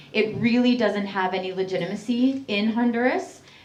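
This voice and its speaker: Over noticeable background noise, a woman with a Canadian accent speaks with fairly even intonation. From Canada. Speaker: human rights activist. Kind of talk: public talk.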